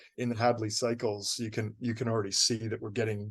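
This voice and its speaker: A man with a Canadian accent speaks at a very fast pace in a medium pitch, somewhat breathy, his intonation monotone and flat. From Canada. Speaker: novelist. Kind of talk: interview.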